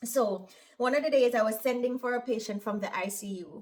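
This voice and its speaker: A woman speaks with a Jamaican accent in a fairly high pitch. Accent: Jamaican, mistaken for Irish. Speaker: operating room nurse and vlogger. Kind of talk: casual vlog monologue. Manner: lilting intonation; animated.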